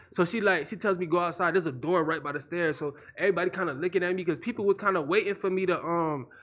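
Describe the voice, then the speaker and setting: Against a quiet background, a man with a high pitch talks at a very fast pace in an animated, bright, sharp tone with ordinary pitch variation. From Florida. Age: 20s. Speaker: internet comedian. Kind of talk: casual chat.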